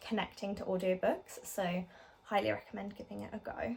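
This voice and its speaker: Over noticeable background noise, a woman with an English accent speaks at a fairly quick pace. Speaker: book vlogger. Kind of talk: casual book review vlog. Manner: hesitant, many ums and likes; quiet.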